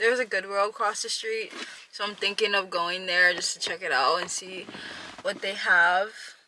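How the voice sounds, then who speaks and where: The tone is relaxed. Noticeable background noise runs underneath. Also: woman. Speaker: vlogger. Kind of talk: casual vlog talk. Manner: casual, relaxed.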